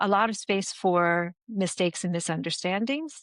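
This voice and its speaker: With an American accent, a woman talks at a fairly slow pace in a dry, close sound with no echo. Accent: American, now sounds accented to Americans. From United States. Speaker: business strategist and founder. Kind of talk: podcast interview.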